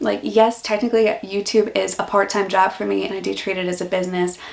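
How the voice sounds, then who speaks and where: With an American accent, a woman talks at a fairly quick pace in a relaxed tone, with noticeable background noise behind her. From US Northeast, Philadelphia. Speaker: YouTuber and office worker. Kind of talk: casual vlog Q&A. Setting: home office. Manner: relaxed, chatty.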